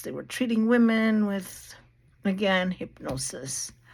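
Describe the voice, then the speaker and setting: A woman speaks fairly slowly at a medium pitch with lively intonation in a very clean recording with a silent background. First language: Portuguese. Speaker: video blogger talking about therapy history. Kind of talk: casual lecture-style monologue. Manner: halting.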